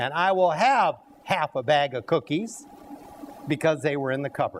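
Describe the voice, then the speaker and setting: A man with a fairly high pitch talks at a moderate pace, his intonation lively, while noticeable background noise carries on. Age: 60s. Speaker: cooking show host. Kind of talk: live cooking demonstration. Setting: health center dining room with audience.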